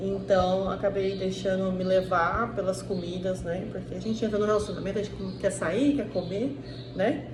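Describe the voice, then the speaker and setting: With an inland southeastern Brazilian accent, a woman speaks at medium pitch with ordinary pitch variation and a moderate pace. Audible room echo and noticeable background noise surround her voice. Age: 30s. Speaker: diet vlogger. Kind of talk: casual vlog monologue. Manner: hesitant, many fillers.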